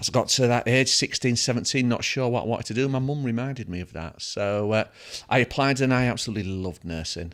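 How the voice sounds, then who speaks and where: A man with a northern English accent, medium pitch and ordinary pitch variation, speaking at a very fast pace in a very clean recording over a silent background. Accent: British (north of England). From northern England. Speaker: dental education executive, former nurse. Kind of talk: casual chat.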